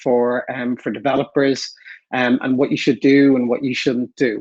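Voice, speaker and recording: This man speaks with an Irish accent at a medium pitch. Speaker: enterprise account director. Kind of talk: webinar presentation.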